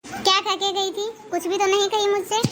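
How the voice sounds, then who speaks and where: A squeaky, cartoonish character voice from a woman, extremely high-pitched, very fast and monotone with flat intonation. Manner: curt, sulky.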